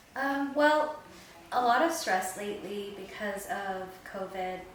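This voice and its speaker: A woman talks with ordinary pitch variation amid audible room echo and noticeable background noise. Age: 40s. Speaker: interviewee. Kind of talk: interview.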